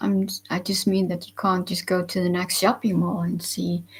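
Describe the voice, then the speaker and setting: A woman with an Icelandic accent, medium in pitch, somewhat breathy. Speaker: spiritual vlogger. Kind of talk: live stream monologue. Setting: live stream with webcam. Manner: hesitant, many fillers.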